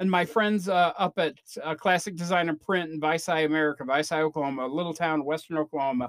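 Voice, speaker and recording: Using an ordinary speaking voice, a man talks fairly quickly at a fairly high pitch. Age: 50s. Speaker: podcast host. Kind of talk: casual monologue.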